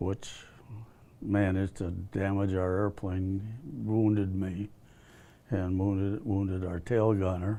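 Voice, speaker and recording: Speaking with an American accent, a man uses a fairly low pitch, a dark, mellow tone, and monotone, flat intonation at a fairly slow pace with long, frequent pauses against a quiet background. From US Midwest, Milwaukee. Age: 90s. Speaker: war veteran. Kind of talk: interview. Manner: halting.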